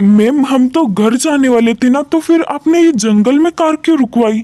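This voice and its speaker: Doing a put-on character voice, a man speaks at an extremely high pitch with ordinary variation and a moderate pace. The sound is dry and close with no echo. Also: very even loudness. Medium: read story. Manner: groveling.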